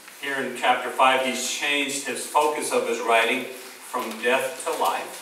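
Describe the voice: The text is read aloud. It is plain reading aloud.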